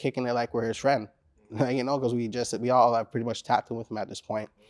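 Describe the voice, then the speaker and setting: A man with a Caribbean accent talks at a very fast pace in a monotone, flat intonation, recorded with a dry, close sound and no echo. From Caribbean descent. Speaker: rapper. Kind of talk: interview. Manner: casual, filler-heavy.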